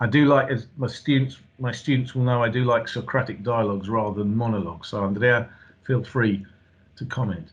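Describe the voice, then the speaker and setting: With a British accent, a man at medium pitch speaks at a fairly quick pace in a somewhat breathy voice with fairly even intonation. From England. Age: 50s. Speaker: university lecturer. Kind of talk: lecture. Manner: halting.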